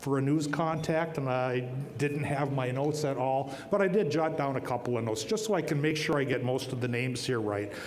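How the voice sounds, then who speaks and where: With an American accent, a man at a fairly high pitch talks at a fairly quick pace and very even loudness, amid noticeable background noise and audible room echo. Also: ordinary pitch variation. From northern Minnesota, Iron Range (Ely). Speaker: TV meteorologist receiving award. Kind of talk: award acceptance speech. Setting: stage at awards dinner with audience. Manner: joking, folksy.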